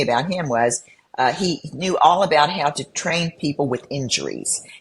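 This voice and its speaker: A woman's somewhat breathy voice, very deep and low in pitch with ordinary variation, at a moderate pace. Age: 70s. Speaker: bodybuilder. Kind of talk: casual chat.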